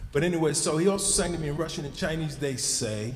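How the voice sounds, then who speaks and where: Over noticeable background noise, a man talks at a fairly quick pace with audible room echo. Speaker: speaker at a community event. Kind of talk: public remarks to an audience.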